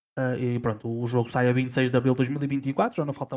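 A man's medium-pitched voice in a European Portuguese accent, with fairly even intonation. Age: 30s. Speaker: gaming podcast co-host. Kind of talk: casual chat.

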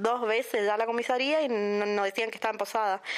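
Her intonation monotone and flat, a woman talks at a moderate pace with a fairly high pitch. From Puerto Iguazú, Misiones, Argentina. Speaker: victim's relative. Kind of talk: testimony. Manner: halting.

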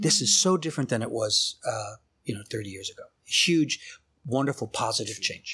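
Speaking at a moderate pace with an American accent, a man uses a medium pitch and a bright, sharp tone that swings very widely up and down. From US South, New Orleans. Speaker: architecture researcher and author. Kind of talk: interview conversation.

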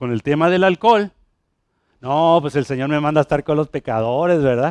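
In a dry, close sound with no echo, a man speaks at a fairly high pitch with an animated tone and ordinary pitch variation. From Puerto Rico. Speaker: pastor. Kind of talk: sermon, preaching to a congregation with a friendly, teaching tone. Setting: church with congregation. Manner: animated, conversational, direct address to the congregation with humor and repetition.

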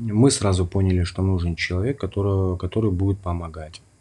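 Pitched very deep and low, a man speaks in a dark, mellow, somewhat breathy tone. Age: 30s. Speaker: podcast host, stay-at-home dad. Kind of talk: solo podcast monologue.

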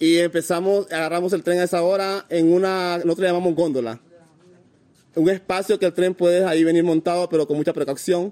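Heard as a dry, close sound with no echo, a man with a high pitch and a dark, mellow tone keeps very even loudness and fairly even intonation. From Honduras, north coast Garifuna community. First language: Garifuna (speaking Spanish). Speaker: migrant. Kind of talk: interview. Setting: migrant shelter.

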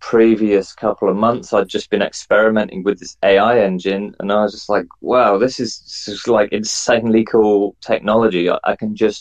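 Speaking with an English accent, a man keeps a medium pitch and a moderate pace. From England. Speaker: NFT project founder and artist. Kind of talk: interview.

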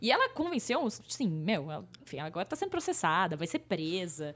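A woman's very fast speech with vocal fry and very wide pitch swings. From interior of São Paulo state, Brazil (Pirajuí). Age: 30s. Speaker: influencer marketing entrepreneur. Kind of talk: casual interview. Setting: in-person studio recording.

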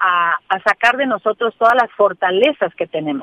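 Lively intonation from a woman at medium pitch. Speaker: thanatologist. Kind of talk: interview. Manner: calm; halting.

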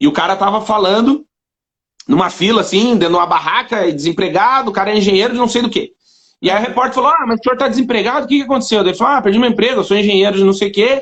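A man with a high voice talks at a very fast pace with ordinary pitch variation. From southern Brazil. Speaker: writer and blogger. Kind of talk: casual chat.

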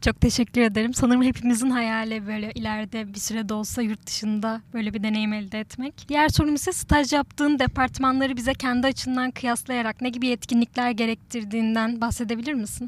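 A woman's ordinary speaking voice, fairly high in pitch, at a fairly quick pace with hardly any pauses and fairly even intonation. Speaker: student podcast host. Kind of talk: interview.

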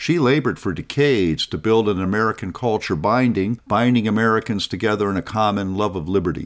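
In a very clean recording with a silent background, a man talks very fast at a fairly low pitch with ordinary pitch variation and hardly any pauses. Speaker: podcast host and scholar. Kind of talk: educational talk, scripted narration. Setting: studio. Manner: formal, measured.

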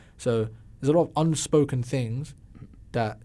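A man with an English accent speaks at a moderate pace. His tone is dark and mellow, and somewhat breathy. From London, England. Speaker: musician. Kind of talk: casual chat. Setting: studio.

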